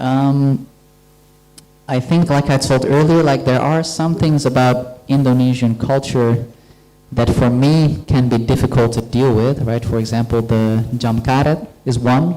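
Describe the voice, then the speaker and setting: Against noticeable background noise, a man speaks at a fairly slow pace with fairly even intonation. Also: medium pitch for a man, very even loudness. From Netherlands. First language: Dutch. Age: 30s. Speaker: guest lecturer. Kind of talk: lecture Q&A. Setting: university lecture hall with audience.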